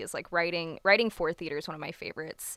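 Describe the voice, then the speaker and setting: Recorded very cleanly against a silent background with a dry, close sound and no echo, a woman with an American accent speaks at a fairly quick pace and fairly low pitch, her tone bright and sharp, her intonation fairly even. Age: 20s. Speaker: poet. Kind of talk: casual chat.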